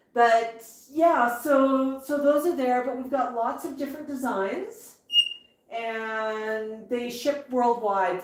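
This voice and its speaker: A woman's high voice with a Canadian accent, ordinary pitch variation and a very slow pace, with audible room echo. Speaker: parrot owner and livestream host. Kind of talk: live stream chat.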